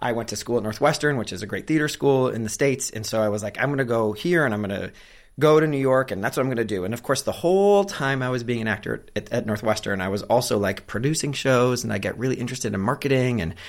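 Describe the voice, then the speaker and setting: Talking at a very fast pace, a man uses an American accent. The recording is very clean, with a silent background. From US Midwest, Cleveland suburb, Ohio. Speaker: career coach for actors, former actor. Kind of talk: podcast interview. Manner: animated.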